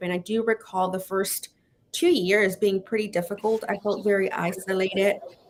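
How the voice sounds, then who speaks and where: A woman's medium-pitched voice with a Spanish accent and fairly even intonation. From Laredo, Texas (US-Mexico border). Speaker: physician. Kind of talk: interview. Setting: live video stream. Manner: hesitant, many fillers.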